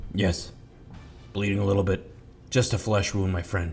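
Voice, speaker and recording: A man growls in a raspy, put-on character voice with fairly low pitch. He keeps a moderate pace over clear background noise. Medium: actual play.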